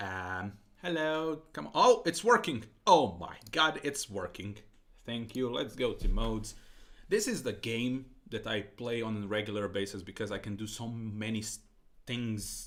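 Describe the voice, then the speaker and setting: Speaking at a fairly slow pace with a non-native accent, a man uses lively intonation. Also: medium pitch for a man. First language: not English. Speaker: streamer. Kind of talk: casual live stream chat. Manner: halting.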